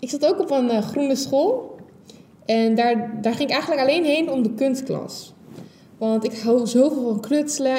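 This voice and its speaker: Over noticeable background noise and audible room echo, a woman speaks at a moderate pace in a high voice with ordinary pitch variation. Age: 20s. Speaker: podcast host. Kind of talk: solo podcast monologue.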